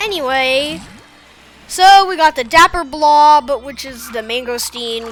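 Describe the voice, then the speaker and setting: Over noticeable background noise, a woman with a high pitch talks fairly slowly, her pitch swinging very widely. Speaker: gaming youtuber. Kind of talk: let's play commentary. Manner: halting, many fillers.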